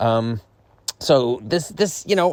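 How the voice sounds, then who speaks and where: Lively intonation marks a man's unremarkable speaking voice at a medium pitch. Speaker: stand-up comedian vlogger. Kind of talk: casual monologue vlog. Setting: stepping outdoors.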